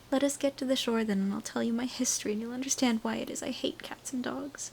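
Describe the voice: Putting on a character voice, a woman talks at a very fast pace in a shaky, fairly high pitch, with clear background noise.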